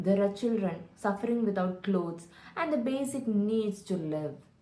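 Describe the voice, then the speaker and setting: Somewhat breathy, fairly slow speech from a woman with lively intonation. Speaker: storyteller; voice-over artist. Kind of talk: children's story narration.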